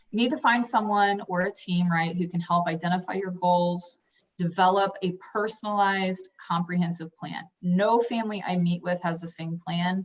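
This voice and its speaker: Her intonation stays fairly even at a medium pitch. The woman's voice is somewhat breathy. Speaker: financial advisor. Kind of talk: online workshop presentation. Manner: fast.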